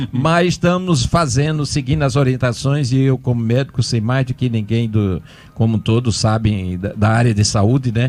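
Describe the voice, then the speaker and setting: In a very clean recording with a silent background, a man with an ordinary speaking voice talks at a moderate pace and medium pitch, with ordinary pitch variation, very even loudness and hardly any pauses. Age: 60s. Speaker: mayor and physician. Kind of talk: radio interview. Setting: radio studio.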